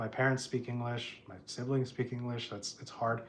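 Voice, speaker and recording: Somewhat breathy, a man with an American accent speaks at a medium pitch. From US Midwest, Chicago, Illinois. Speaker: house painter and livestreamer. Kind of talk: casual livestream chat. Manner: halting, many fillers and restarts.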